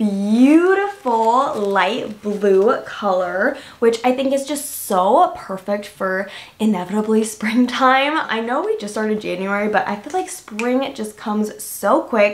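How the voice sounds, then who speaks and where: This woman's intonation is lively. She talks at a fairly slow pace. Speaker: lifestyle vlogger. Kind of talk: casual haul review chat. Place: home room.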